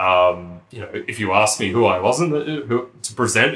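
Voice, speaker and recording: A man speaks with an Australian accent. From Australia, country town. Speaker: podcast co-host. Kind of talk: casual chat.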